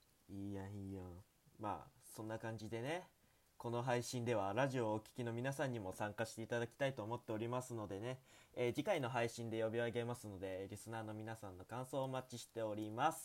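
The man's pace is fairly quick. He keeps to a medium pitch. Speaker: student radio host. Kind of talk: casual chat. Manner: animated.

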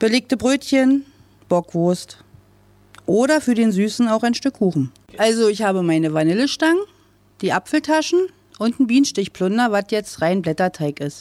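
This woman's pitch swings very widely, broken by long, frequent pauses. The sound is dry and close, with no echo. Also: fairly high pitch for a woman, moderate pace. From eastern Germany, Brandenburg. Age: 40s. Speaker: bakery shop owner. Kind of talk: interview. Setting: outdoors.

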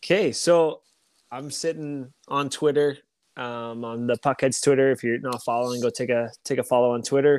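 An ordinary speaking voice from a man at medium pitch, moderate in pace with fairly even intonation, in a dry, close sound with no echo. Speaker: co-host, hockey podcaster. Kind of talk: casual sports podcast chat. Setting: remote recording, online audio call.

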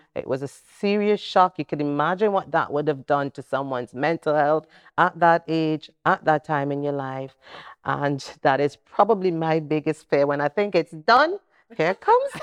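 Quiet surroundings and a dry, close sound with no echo carry a woman's very deep, low voice, spoken at a moderate pace with ordinary pitch variation. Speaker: podcast host. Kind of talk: casual panel interview.

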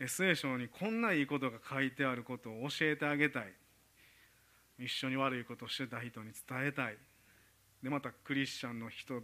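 At a moderate pace, a man speaks at a medium pitch with a bright, sharp tone and ordinary pitch variation. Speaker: preacher. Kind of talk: sermon.

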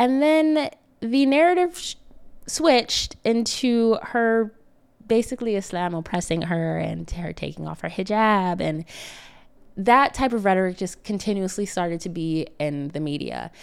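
A woman with an American accent, medium pitch and very wide pitch swings at a moderate pace, on a very clean recording with a silent background. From upstate New York. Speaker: wellness coach and podcast host. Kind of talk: solo podcast talk.

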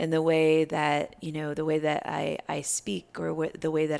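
In a very clean recording with a silent background, a woman with an American accent and a very deep, low pitch talks at a moderate pace with fairly even intonation. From US Midwest, Iowa. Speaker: life coach and yoga teacher. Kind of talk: casual interview. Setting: in person.

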